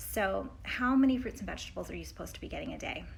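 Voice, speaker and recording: A woman speaks with audible room echo. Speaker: health coach. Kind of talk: educational vlog talk. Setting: indoors at friends' place on trip. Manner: animated.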